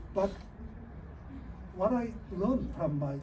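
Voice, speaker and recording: A fairly slow pace amid noticeable background noise. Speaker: Buddhist monk, disciple of a Zen master. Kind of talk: interfaith panel talk. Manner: halting.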